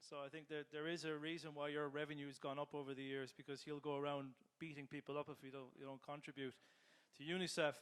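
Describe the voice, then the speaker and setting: The speech comes very fast with an Irish accent. The intonation stays monotone and flat. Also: man. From Ireland. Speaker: business transformation leader. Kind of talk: panel discussion.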